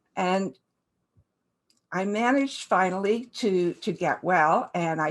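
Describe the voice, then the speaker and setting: Over a quiet background, a woman with fairly low pitch speaks with lively intonation. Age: 60s. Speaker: life coach. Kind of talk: motivational talk. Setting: stage at a summit. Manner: halting with fillers.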